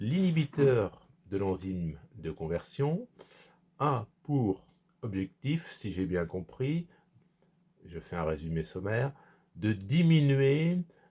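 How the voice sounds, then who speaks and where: On a very clean recording with a silent background, a somewhat breathy man speaks at a very slow pace with very wide pitch swings. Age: 60s. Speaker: vlogger. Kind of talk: personal vlog monologue. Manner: halting, many hesitations.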